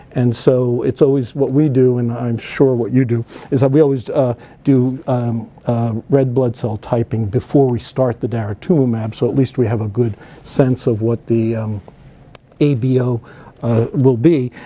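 A medium-pitched man in a New Jersey accent, moderate pace and fairly even intonation, amid noticeable background noise. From northern New Jersey. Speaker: physician and cancer researcher. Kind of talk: conference lecture.

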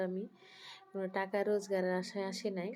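A woman's medium-pitched voice in a flat monotone, with music in the background. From Bangladesh, Brahmanbaria. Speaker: homemaker vlogger. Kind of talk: casual vlog narration.

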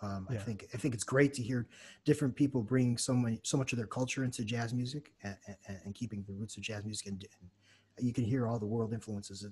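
A man's very fast speech, dark and mellow in tone and somewhat breathy. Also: medium pitch for a man, fairly even intonation. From United States. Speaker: jazz saxophonist and music teacher; educator, guest. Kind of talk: casual interview. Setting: video call. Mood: warm, reflective. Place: home room. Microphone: studio mic.

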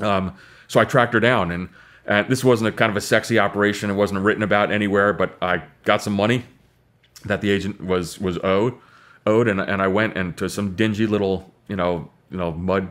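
A man speaks in a fairly low voice with fairly even intonation. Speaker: podcast guest. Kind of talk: interview answer. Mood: reflective, calm storytelling. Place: studio.

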